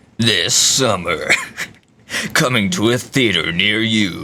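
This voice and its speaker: Using a put-on character voice at a medium pitch, a man speaks at a fairly slow pace. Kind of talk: narrator. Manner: dramatic announcing.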